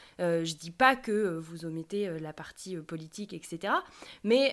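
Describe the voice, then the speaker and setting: With a plain, everyday voice, this woman speaks at a medium pitch and uses lively intonation. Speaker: podcast co-host. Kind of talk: podcast interview.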